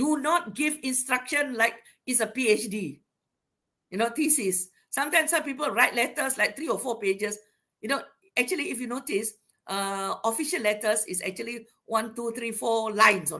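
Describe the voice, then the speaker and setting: Loud and bright with a sharp tone, a woman with a Malaysian accent uses lively intonation on a very clean recording with a silent background. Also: fairly high pitch for a woman, moderate pace. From Sarawak, Malaysia (Iban). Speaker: university academic, invited speaker. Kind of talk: lecture.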